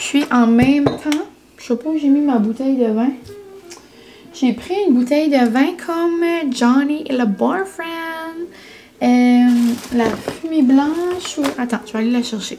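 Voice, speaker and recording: Over noticeable background noise, a woman speaks very slowly at a high pitch with ordinary pitch variation. Long pauses come often. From New Brunswick, Canada (Acadian French). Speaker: vlogger. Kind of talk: casual vlog talk to camera. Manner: chatty, many fillers (euh).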